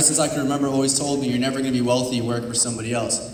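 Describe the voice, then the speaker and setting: A man with an American accent, with noticeable background noise and audible room echo. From Simi Valley, California. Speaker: direct sales speaker. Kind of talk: motivational talk. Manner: fast.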